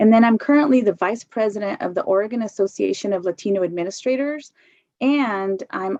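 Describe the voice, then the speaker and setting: An unremarkable speaking voice: a woman with an American accent talks at a fairly quick pace and medium pitch with ordinary pitch variation, in a dry, close sound with no echo. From US Pacific Northwest. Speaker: education consultant. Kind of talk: work presentation.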